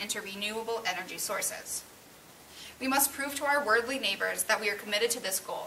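Over light background noise, a woman speaks at a fairly quick pace. Her voice is fairly high, with ordinary pitch variation. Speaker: student playing political candidate. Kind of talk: staged mock debate for class. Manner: formal. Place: classroom. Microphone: camera far.

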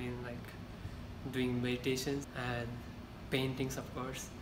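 Noticeable background noise is present. A man speaks very slowly. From Nepal. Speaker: university student. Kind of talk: interview answer. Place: meeting room. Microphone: camera far.

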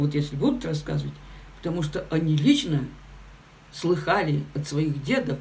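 A woman's low, slightly mellow voice with ordinary pitch variation, at a moderate pace, with audible room echo.

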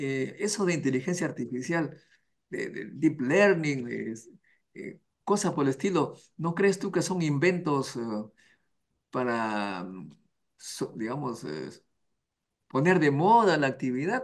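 A man's fairly high pitch at a very slow pace, with very wide pitch swings, long, frequent pauses and a quiet background. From Peru. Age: 70s. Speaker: science channel interviewer. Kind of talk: interview. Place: office. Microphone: headset.

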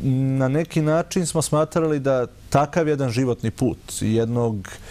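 Ordinary in its pitch variation, the voice carries a dark, mellow tone. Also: man. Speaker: guest. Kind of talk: interview answer. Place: studio. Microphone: lapel.

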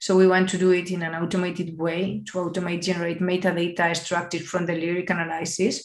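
A woman with a Spanish accent at a fairly quick pace, a quiet background, and audible room echo. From Spain. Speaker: AI and digital innovation expert; keynote speaker. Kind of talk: conference keynote. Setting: video call. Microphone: webcam.

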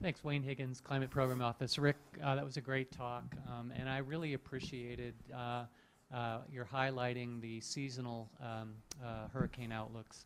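A man's monotone, flat delivery at a moderate pace over noticeable background noise. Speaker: audience questioner, climate scientist; questioner. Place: hall.

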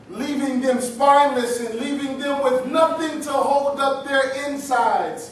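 With an extremely high pitch for a man, he speaks at a fairly slow pace with ordinary pitch variation, amid audible room echo and light background noise. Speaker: pastor. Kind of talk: spoken word poetry performance at a live poetry night. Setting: live venue with audience responding. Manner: improvised, preacher-style cadence. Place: hall. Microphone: camera far.

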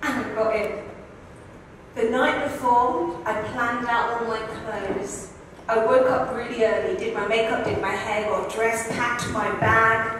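There is strong room echo and light background noise. Through it, a woman speaks at a fairly slow pace. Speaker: speaker. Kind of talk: storytelling talk. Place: stage.

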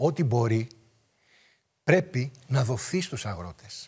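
Against a quiet background, a somewhat breathy voice moves at a fairly slow pace through very wide pitch swings. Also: man. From rural Greece. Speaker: political commentator. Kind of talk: political talk show debate. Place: studio. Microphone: lapel.

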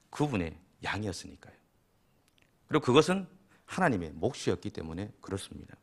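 A man with a fairly low pitch talks at a fairly quick pace. His pitch swings very widely. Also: long, frequent pauses. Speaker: pastor. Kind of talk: sermon.

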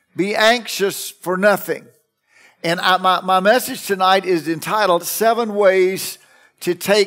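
A man speaks at a very slow pace with a high pitch. Music plays in the background. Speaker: pastor preaching. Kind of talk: sermon. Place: church. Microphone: headset.

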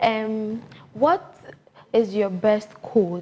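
A woman speaks at a very slow pace with fairly even intonation. Light background noise sits behind her. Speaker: podcast host; interview host. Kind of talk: interview. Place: office.

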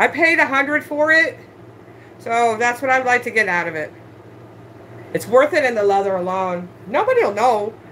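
A woman's high-pitched voice at a moderate pace, with very wide pitch swings, long and frequent pauses, and light background noise. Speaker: online handbag reseller. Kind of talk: live-stream sales show. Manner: loud. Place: home room. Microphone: phone near.

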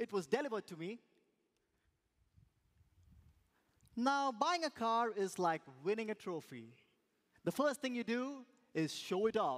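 A man's voice with very wide pitch swings over a quiet background. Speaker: speaker. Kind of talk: speech contest storytelling. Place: stage. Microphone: headset.

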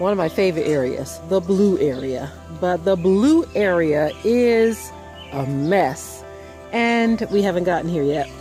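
Fairly slow speech in a dry sound with no echo, clear music playing in the background. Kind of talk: casual vlog chat. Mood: relaxed, cheerful. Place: garden. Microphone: phone near.

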